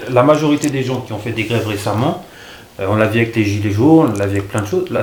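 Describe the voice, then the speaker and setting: A man's medium-pitched voice at a very fast pace, with lively intonation, noticeable background noise and audible room echo. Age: 30s. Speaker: youtuber interviewer. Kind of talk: casual interview.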